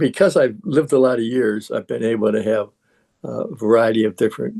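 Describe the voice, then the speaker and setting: A man of medium pitch talks at a moderate pace with vocal fry, ordinary pitch variation and a dark, mellow tone. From US Midwest, Gary, Indiana. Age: 80s+. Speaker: Jungian analyst and shamanic practitioner. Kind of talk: interview conversation. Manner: hesitant with fillers.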